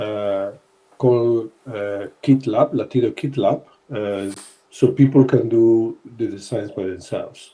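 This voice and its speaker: The man talks at a fairly slow pace with a dark, mellow tone. His pitch is medium and his intonation fairly even. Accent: Spanish. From Spain. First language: Spanish. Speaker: podcast host, sportswear brand team member. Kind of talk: casual podcast chat. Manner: halting, frequent fillers.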